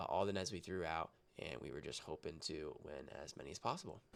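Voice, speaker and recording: Vocal fry at a moderate pace. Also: man. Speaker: roundnet player reviewing own match film. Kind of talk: video commentary on game film. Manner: casual, with frequent filler um.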